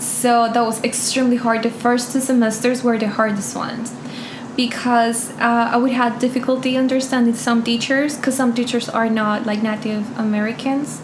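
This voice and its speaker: A woman with a Spanish accent speaks at a moderate pace in a high, flat, monotone voice, with noticeable background noise and audible room echo. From Colombia. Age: 20s. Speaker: interview guest. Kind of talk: casual interview.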